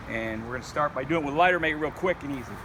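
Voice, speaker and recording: The man's fairly high voice carries ordinary pitch variation amid noticeable background noise. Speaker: outdoor survival video maker. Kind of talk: tutorial. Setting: outdoors. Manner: halting, stuttering; informal.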